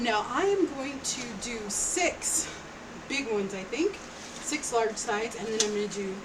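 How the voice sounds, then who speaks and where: In a room with audible echo and noticeable background noise, a woman speaks fairly slowly with lively intonation at a fairly high pitch. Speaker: craft tutorial YouTuber. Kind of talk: tutorial. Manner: loud; casual, chatty.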